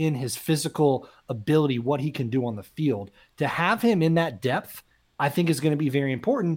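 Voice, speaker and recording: In a very clean recording with a silent background, a man with a normal speaking voice talks at a fairly quick pace and fairly high pitch with lively intonation. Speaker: sports podcast co-host. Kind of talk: casual sports talk.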